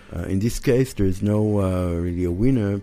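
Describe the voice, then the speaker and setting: A man with an Israeli accent speaks in a dark, mellow tone. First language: Hebrew. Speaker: architect. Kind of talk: interview. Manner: halting, many filler uhs.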